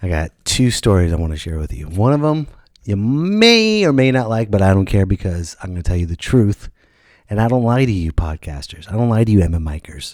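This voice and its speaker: On a very clean recording with a silent background, a man with a fairly low pitch talks at a fairly quick pace in an animated tone with lively intonation. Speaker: comedian and podcast host. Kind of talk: casual podcast monologue. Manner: loud.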